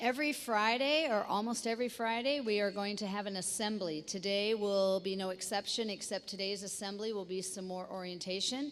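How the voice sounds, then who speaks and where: An ordinary speaking voice at a fairly quick pace, with hardly any pauses and ordinary pitch variation. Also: woman, medium pitch for a woman. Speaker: school staff member leading assembly. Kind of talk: school assembly announcements.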